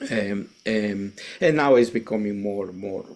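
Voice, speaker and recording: The speech comes in a Mexican accent on a very clean recording with a silent background. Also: man. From Mexico, Veracruz. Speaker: Zen priest and teacher. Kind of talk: interview. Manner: halting, many repetitions and fillers.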